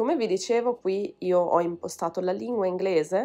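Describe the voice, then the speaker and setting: A woman with an unremarkable speaking voice talks at a medium pitch. Her pace is moderate, and the background is quiet. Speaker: language teacher and YouTuber. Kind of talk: tutorial.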